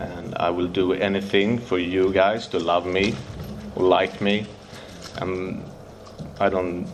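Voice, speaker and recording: In a Swedish accent, a man speaks very slowly with a very deep, low pitch and monotone, flat intonation, leaving long, frequent pauses. The room echoes audibly and background noise is noticeable. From Sweden, Stockholm. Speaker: recovering addict sharing at a convention. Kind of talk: recovery share speech. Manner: halting, with hesitations.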